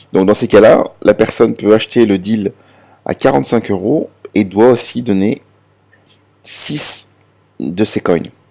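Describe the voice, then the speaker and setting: With a dark, mellow tone and vocal fry, a man speaks in a fairly low pitch at a fairly slow pace, leaving long, frequent pauses. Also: ordinary pitch variation. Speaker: crypto promoter. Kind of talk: presentation. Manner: halting, many fillers and repetitions.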